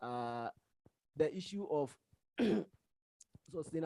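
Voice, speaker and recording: The sound is dry and close, with no echo. A man speaks in a dark, mellow tone at a moderate pace. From Ghana. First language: not English. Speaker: paper discussant. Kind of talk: conference paper review. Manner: halting, many fillers.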